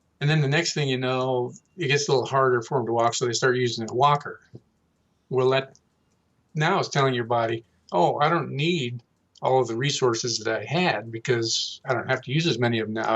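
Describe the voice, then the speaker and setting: A plain, everyday voice: a man at medium pitch, fairly quick pace and ordinary pitch variation. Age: 60s. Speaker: health and nutrition expert. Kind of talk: interview.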